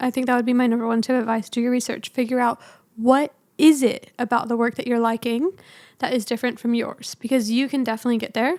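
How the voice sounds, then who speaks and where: In a very clean recording with a silent background, a woman with a high pitch talks at a very fast pace using fairly even intonation. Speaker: photographer and podcast host. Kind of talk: advice podcast monologue. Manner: casual, chatty.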